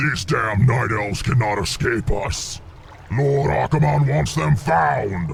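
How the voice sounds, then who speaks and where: Over clear background noise, a man puts on a character voice, fairly low in pitch, at a fairly slow pace. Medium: video game. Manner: harsh, menacing.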